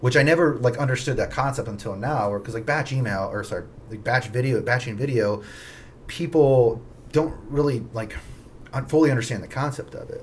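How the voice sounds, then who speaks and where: A man's somewhat breathy voice at a medium pitch, with ordinary pitch variation, big swings in loudness and a fairly quick pace. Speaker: real estate agent. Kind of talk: casual chat. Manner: fast.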